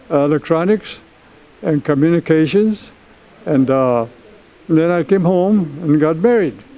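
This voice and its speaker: With an American accent, a man talks at a fairly slow pace over noticeable background noise. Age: 90s. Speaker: war veteran. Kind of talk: interview. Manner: halting.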